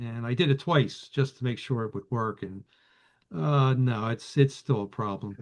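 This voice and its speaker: A man with a Philadelphia accent talks at a moderate pace with ordinary pitch variation. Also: medium pitch for a man. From Philadelphia area. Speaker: vintage radio collector. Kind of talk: casual chat. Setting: video call. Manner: halting, many fillers.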